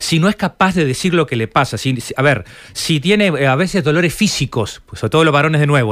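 A man talks at a very fast pace in a Uruguayan accent. His voice is fairly high, with lively intonation. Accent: Uruguayan Rioplatense Spanish. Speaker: psychologist. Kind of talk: radio interview.

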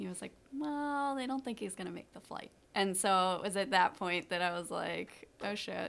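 An ordinary speaking voice with lively intonation, at a fairly quick pace. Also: woman. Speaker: caregiver, charity co-founder. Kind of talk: interview.

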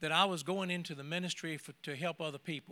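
High-pitched male voice with an American accent, bright and sharp in tone, at a moderate pace with ordinary pitch variation, on a very clean recording with a silent background. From United States. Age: 80s+. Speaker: retired minister. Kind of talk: testimony. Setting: church.

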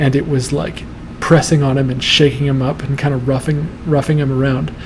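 Noticeable background noise sits behind a man speaking at a moderate pace. His pitch is fairly high and his intonation fairly even. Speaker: podcast host. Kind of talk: casual interview chat and reading nightmares aloud. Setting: livestream broadcast.

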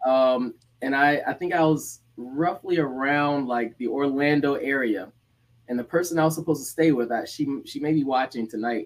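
A man with an American accent has a normal speaking voice at medium pitch. His pace is moderate and his pitch variation ordinary. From Atlanta, Georgia (Decatur), US South. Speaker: former college football player. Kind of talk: casual interview chat. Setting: live-streamed video podcast.

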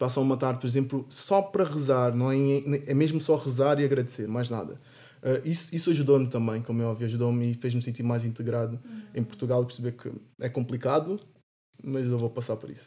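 A man's very fast delivery, medium in pitch, dark and mellow in tone, with ordinary pitch variation. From São Tomé and Angola. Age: 20s. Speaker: university student. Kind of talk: casual chat.

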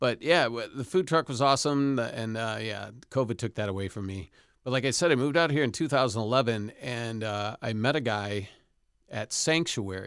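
In a very clean recording with a silent background, a man with an American accent talks at a moderate pace in a normal speaking voice, with ordinary pitch variation. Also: medium pitch for a man. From Rockford, Illinois, US Midwest. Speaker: chef and former musician. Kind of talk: casual chat.

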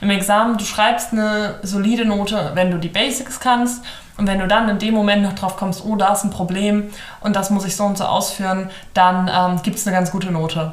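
With audible room echo and noticeable background noise, a woman speaks fairly quickly at medium pitch, her intonation fairly even. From northern Germany, Hamburg area. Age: 20s. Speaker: law student. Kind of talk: casual interview chat.

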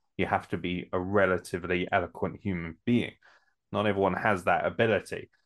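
A man with a very deep, low pitch speaks at a fairly quick pace in a monotone, flat delivery. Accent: British. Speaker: podcast host. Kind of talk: casual chat.

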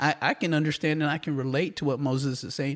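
An unremarkable speaking voice is heard here. Its tempo is moderate. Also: man. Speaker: podcast co-host. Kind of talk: casual religious discussion.

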